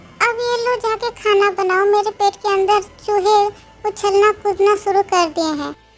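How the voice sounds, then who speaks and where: A woman's put-on character voice at a moderate pace, with faint music in the background. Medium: read story.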